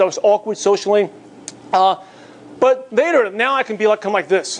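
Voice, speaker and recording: A man with a New York accent and lively intonation. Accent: New York American English. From New York (Bay Ridge, Brooklyn). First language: Mandarin/Cantonese (learned English alongside Cantonese). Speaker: network marketing trainer. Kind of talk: motivational seminar talk. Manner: fast.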